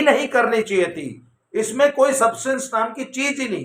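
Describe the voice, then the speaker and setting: This man's voice is extremely high-pitched. His tone is bright and sharp. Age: 60s. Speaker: YouTube commentator. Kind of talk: opinion commentary monologue. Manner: animated.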